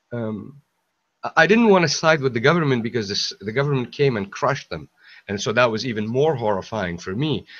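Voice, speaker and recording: A man with an Arabic accent, medium pitch and a fairly quick pace. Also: lively intonation. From Syria, Aleppo. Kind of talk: casual chat. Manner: halting, many repetitions.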